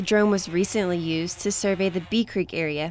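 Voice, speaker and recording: Fairly quick and fairly even in intonation, a woman speaks at a medium pitch. Noticeable background noise runs behind her. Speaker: television news reporter. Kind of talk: TV news report.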